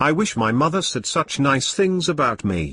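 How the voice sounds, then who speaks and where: In a put-on character voice, a man growls at a moderate pace, his fairly high pitch moving through very wide swings. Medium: comedy sketch. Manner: naive, friendly.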